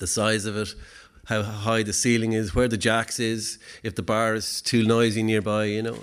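At a moderate pace, a man with an Irish accent speaks at a medium pitch on a very clean recording with a silent background. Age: 40s. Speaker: poet and event host. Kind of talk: live event hosting with poetry performance. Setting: stage with audience. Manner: halting.

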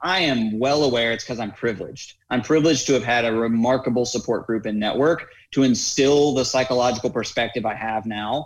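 An ordinary speaking voice, this man's has an American accent, medium pitch and fairly even intonation, captured in a very clean recording with a silent background. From US South, North Carolina. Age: 20s. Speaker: adaptive athlete and fitness coach. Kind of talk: interview conversation.

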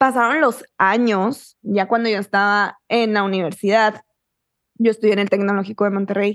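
A woman's plain, everyday voice at a medium pitch, moderate pace and fairly even intonation, dry and close with no echo. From Mexico, Chihuahua (small town). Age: 20s. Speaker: author and manifestation coach, podcaster. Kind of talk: casual chat.

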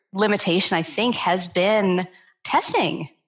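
A woman has an unremarkable speaking voice at a medium pitch and moderate pace. The recording is very clean, with a silent background. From Canada. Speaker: sleep medicine doctor. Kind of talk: interview.

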